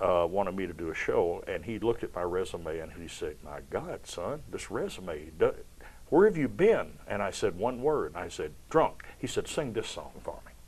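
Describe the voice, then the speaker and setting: A man with a Kentucky accent, his loudness swinging widely. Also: moderate pace. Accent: Kentucky Southern US. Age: 70s. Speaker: stage performer. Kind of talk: interview. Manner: animated.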